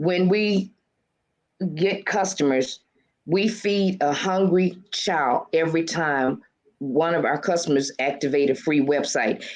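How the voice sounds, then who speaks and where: With ordinary pitch variation, this is a normal speaking voice. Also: woman. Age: 60s. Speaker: author and motivational speaker. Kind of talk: casual interview chat.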